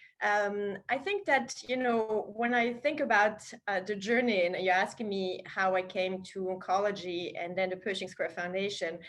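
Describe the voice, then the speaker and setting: A woman with a French accent speaks at a medium pitch and a moderate pace, with ordinary pitch variation and hardly any pauses. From France. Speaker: foundation president, cancer research leader. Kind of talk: interview.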